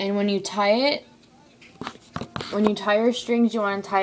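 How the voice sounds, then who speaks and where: A woman's medium-pitched, monotone, flat voice against light background noise. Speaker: craft tutorial maker. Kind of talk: tutorial. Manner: halting. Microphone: phone near.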